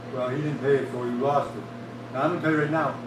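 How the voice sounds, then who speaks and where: A man talks with a fairly high pitch and ordinary pitch variation. Noticeable background noise and audible room echo surround him. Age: 60s. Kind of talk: casual chat.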